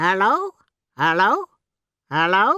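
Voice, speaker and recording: A put-on character voice, female-sounding and medium in pitch. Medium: read story. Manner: repetitive, parroting.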